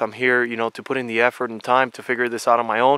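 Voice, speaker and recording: The speaker is a man with a medium pitch. The sound is dry and close, with no echo. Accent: American. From came to US as a child, also lived abroad. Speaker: outdoor Bigfoot researcher vlogger. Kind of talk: casual vlog monologue. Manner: repetitive, stammering restarts.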